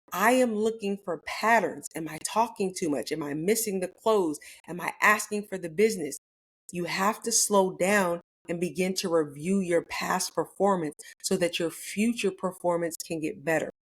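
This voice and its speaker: A plain, everyday voice goes at a moderate pace with ordinary pitch variation. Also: woman. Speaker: real estate coach. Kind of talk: motivational talk.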